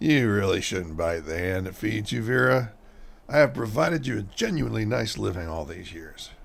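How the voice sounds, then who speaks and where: A man speaks in a put-on character voice that is very deep and raspy, at a moderate pace. His pitch swings very widely and his loudness rises and falls sharply. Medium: audio drama. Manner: self-important.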